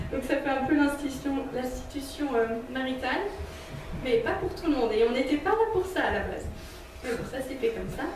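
At a moderate pace, a woman with a high pitch and lively intonation leaves long, frequent pauses, amid audible room echo and noticeable background noise. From Switzerland. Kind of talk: testimony and teaching talk. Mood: warm, smiling. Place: hall.

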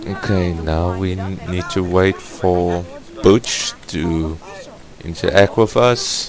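Noticeable background noise surrounds a man with a non-native accent and a very deep, low pitch. He speaks at a very slow pace with fairly even intonation. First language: not English. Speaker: gaming YouTuber. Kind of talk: gameplay commentary. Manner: hesitant, awkward.

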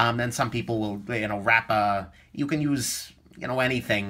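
Someone talks at a fairly quick pace over light background noise. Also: man. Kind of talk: tutorial.

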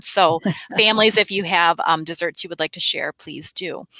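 Against a quiet background, a woman's bright, sharp tone moves at a moderate pace with ordinary pitch variation and a dry sound with no echo. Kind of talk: school announcements. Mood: warm and cheerful. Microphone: headset.

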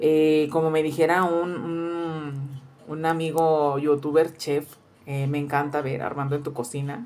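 At a fairly slow pace, a woman speaks in a very deep, low voice with monotone, flat intonation. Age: 40s. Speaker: cooking youtuber. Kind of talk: casual vlog introduction. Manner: halting with many fillers. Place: kitchen. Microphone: phone near.

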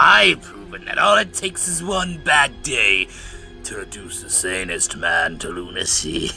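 Clear music plays in the background as a man uses a put-on character voice at a moderate pace. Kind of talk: fandub voice impression. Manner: mocking, theatrical, manic.

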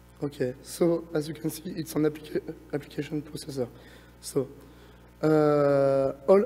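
A man at a fairly high pitch and a moderate pace, with long, frequent pauses and music in the background. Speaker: research engineer presenting. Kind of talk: conference lightning talk. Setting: conference stage, presentation. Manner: halting, many fillers.

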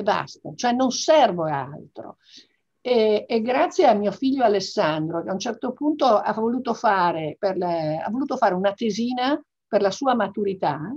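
With very wide pitch swings, a woman talks at a fairly high pitch and moderate pace against a quiet background. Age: 60s. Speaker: business executive; interviewee. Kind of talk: interview; interview answer. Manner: hesitant with fillers. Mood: reflective, emotional family memories. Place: home room. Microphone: video call.

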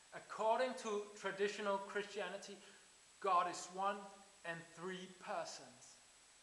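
A man speaks in a high pitch with a bright, sharp tone. His pace is fairly slow, and room echo is audible. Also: fairly even intonation.

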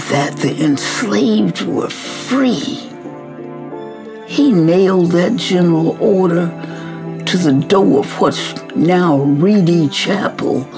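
A woman with a fairly low voice speaks very slowly with very wide pitch swings over clear music in the background. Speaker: activist. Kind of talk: storytelling message to students. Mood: warm, earnest storytelling. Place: home room.

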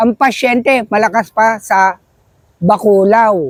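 This man's pitch is extremely high. The sound is dry and close, with no echo. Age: 70s. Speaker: motorcycle rider, interviewee. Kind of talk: street interview.

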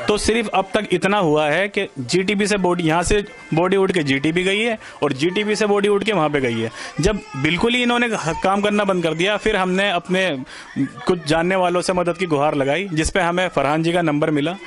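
Faint music plays behind a man with a high voice who speaks at a moderate pace with very even loudness. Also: ordinary pitch variation. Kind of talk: interview answer. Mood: aggrieved, frustrated complaint. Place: home room. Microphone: handheld.

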